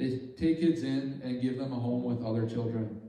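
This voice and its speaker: This is a man speaking. He has an Upper Midwest accent. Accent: Upper Midwest American. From Bemidji, Minnesota. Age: 20s. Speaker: engineering technology student. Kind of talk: church talk about mission trip.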